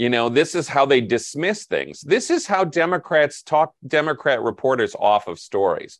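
Against a quiet background, a man with an unremarkable speaking voice talks at a moderate pace and fairly high pitch, with lively intonation and hardly any pauses. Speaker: media analyst and editor. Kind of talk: casual chat.

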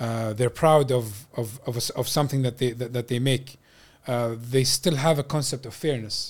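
A man's somewhat breathy, medium-pitched voice with an Arabic accent, fairly even intonation and a moderate pace. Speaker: civil engineer. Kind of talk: casual chat. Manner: code-switching Arabic and English.

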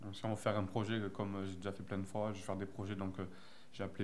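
A man's fairly low, monotone, flat-sounding voice at a very fast pace, with audible room echo. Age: 20s. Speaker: film school student. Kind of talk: interview.

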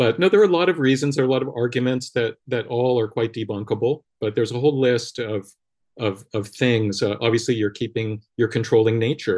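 Speaking at a fairly quick pace over a quiet background, a man with an American accent talks at a medium pitch with ordinary pitch variation. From US West Coast, Los Angeles. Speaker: energy scientist. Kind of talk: interview.

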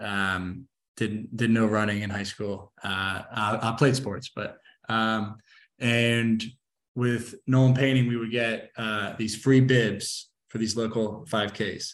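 A man talks at a very slow pace, his medium-pitched voice monotone and flat. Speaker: painting company field manager, endurance athlete. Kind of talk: interview. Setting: video call. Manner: stuttering.

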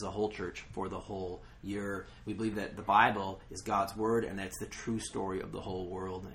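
A man speaks at a moderate pace. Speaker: pastor. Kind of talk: casual chat. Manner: halting.

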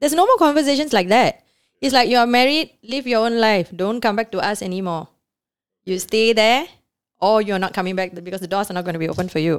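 Very fast and fairly high-pitched, a woman talks with lively intonation. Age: 40s. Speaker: nightclub owner. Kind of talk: interview. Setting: studio.

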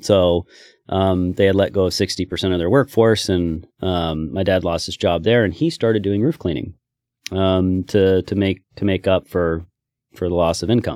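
In a very clean, dry, close recording with a silent background and no echo, a man with a very deep, low pitch and a dark, mellow tone speaks in an American accent at a moderate pace with ordinary pitch variation. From Oregon, US. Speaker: business owner. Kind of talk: interview testimony.

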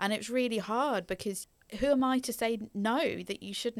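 In a very clean recording with a silent background, a woman speaks in an East Anglian accent at a moderate pace with ordinary pitch variation. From England, Norfolk. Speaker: social worker. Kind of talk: interview, personal story. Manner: hesitant, many fillers.

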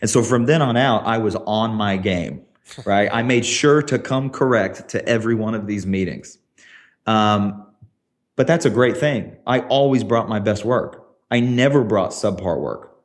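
In an American accent, a man talks at a moderate pace with a normal speaking voice, medium pitch and ordinary pitch variation. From US South, small town. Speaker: tech creative director, former TV production. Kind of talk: interview conversation.

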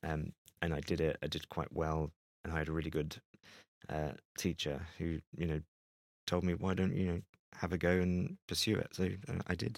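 In a London accent, a man with a very deep, low pitch talks at a moderate pace and fairly even intonation. The sound is dry and close with no echo, and his pauses are long and frequent. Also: very clean recording, silent background. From London (Greenwich). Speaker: photographer. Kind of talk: interview conversation. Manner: hesitant, with fillers.

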